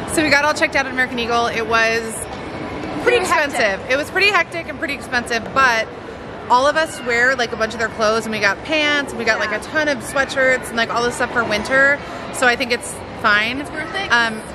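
Over noticeable background noise, a woman talks at a very fast pace with ordinary pitch variation. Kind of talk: casual vlog chat. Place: market. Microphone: phone near.

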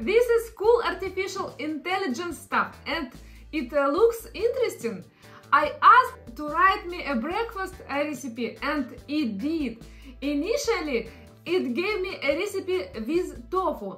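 Faint music plays behind a woman with a non-native accent. Her pitch is extremely high and swings very widely. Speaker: content creator. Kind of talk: casual explainer talk to camera. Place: home room.

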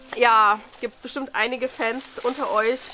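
Music plays in the background as a woman speaks at a very slow pace. Her high-pitched voice keeps a monotone, flat intonation. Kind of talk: casual talk to camera. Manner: hesitant, many filler sounds.

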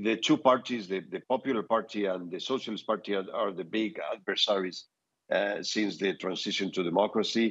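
A man talks at a moderate pace and medium pitch. The background is quiet. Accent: Spanish. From Spain. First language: Spanish. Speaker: political adviser; guest. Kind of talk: news interview. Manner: halting, many fillers and repetitions. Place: home room. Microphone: earbuds.

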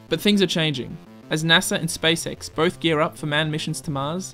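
Music plays in the background. The speaker moves at a fairly quick pace with fairly even intonation. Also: man. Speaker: science video narrator. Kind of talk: educational narration.

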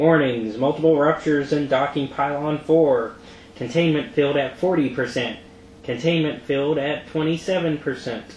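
A put-on, robotic character voice from a man, fairly high in pitch, at a fairly slow pace over clear background noise. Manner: robotic, mechanical warning.

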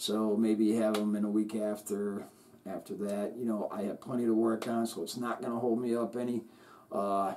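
This man has a fairly low pitch and a dark, mellow tone, speaking in a monotone, flat way against light background noise. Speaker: LEGO hobby channel host. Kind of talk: casual vlog chat.

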